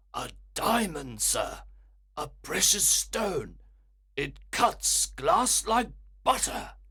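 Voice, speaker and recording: In a raspy, put-on character voice, a man talks at a very slow pace with long, frequent pauses. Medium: read story. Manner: respectful, says sir often.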